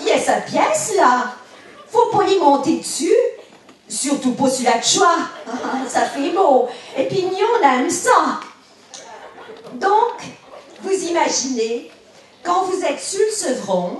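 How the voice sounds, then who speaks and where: In a Bresse accent, a woman speaks very slowly at a high pitch with very wide pitch swings. Long, frequent pauses break up her speech over noticeable background noise. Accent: rural Bresse patois. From Bresse, eastern France. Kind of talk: humorous storytelling.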